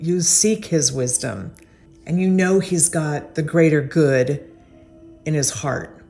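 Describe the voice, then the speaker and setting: Over music in the background, a woman with a very deep, low voice speaks at a fairly slow pace with ordinary pitch variation. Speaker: interviewer. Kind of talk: introduction narration.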